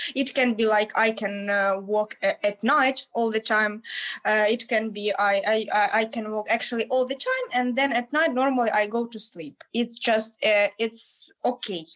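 A woman's fairly high voice, fairly slow and fairly even in intonation, with hardly any pauses. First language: Ukrainian or Russian. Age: young. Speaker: university student and English teacher. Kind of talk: casual interview chat. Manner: halting, many fillers.

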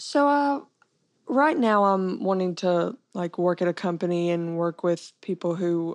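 A woman with an American accent, medium in pitch with ordinary pitch variation, at a very slow pace in a dry, close sound with no echo. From Texas, Texarkana. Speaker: coding bootcamp graduate. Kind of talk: interview. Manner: hesitant, many fillers.

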